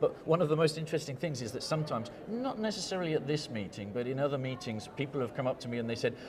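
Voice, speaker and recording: A man at a very fast pace with hardly any pauses, fairly high pitch, lively intonation, and audible room echo. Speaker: geochemist, scientific society vice president. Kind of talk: conference interview. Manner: animated, enthusiastic; repeats words, stumbles.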